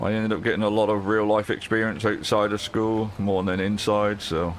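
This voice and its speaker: A man talks at a fairly low pitch in a monotone, flat way with very even loudness. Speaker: gaming streamer. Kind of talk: live gameplay stream chat.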